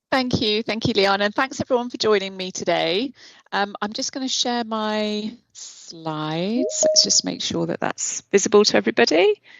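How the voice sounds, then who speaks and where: With a British accent, a woman speaks at a fairly high pitch. She keeps a moderate pace with hardly any pauses. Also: ordinary pitch variation. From Britain. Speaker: publishing executive. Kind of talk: webinar presentation.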